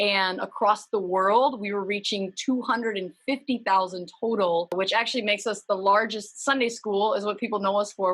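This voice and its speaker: With an Upper Midwest accent, a woman speaks at a moderate pace and medium pitch with ordinary pitch variation. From Minnesota, US. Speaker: humanitarian nonprofit worker. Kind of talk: interview.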